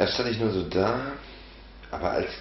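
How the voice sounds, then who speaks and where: A man speaks over noticeable background noise. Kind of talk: comic storytelling to camera. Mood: ironic, boastful. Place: home room.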